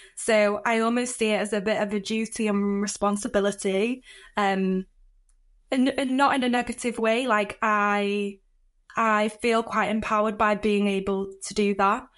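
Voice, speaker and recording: A woman with a northern English accent and a fairly high voice speaks at a moderate pace in a monotone, flat way against a quiet background. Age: 20s. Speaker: inclusion leader. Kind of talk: podcast interview.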